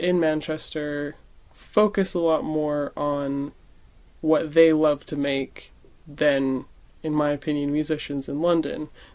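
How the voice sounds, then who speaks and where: In a very clean recording with a silent background, a woman speaks at a fairly slow pace with a dark, mellow tone and very deep, low pitch. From Canada. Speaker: musician. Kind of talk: interview conversation.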